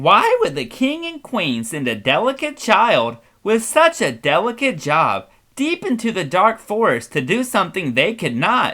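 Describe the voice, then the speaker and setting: In a put-on character voice, the speaker talks at a moderate pace with a fairly high pitch. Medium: read story. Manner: laid-back, blunt.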